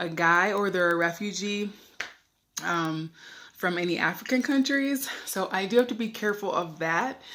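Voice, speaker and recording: A woman with an American accent uses an ordinary speaking voice at a medium pitch with ordinary pitch variation. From USA. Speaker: expat travel vlogger. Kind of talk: casual vlog talk to camera. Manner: chatty, filler-heavy.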